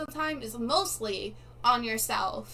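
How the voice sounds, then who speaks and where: Through audible room echo, a woman with a high pitch speaks at a fairly slow pace with lively intonation. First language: not English. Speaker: live streamer. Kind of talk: casual live stream chat. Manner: animated.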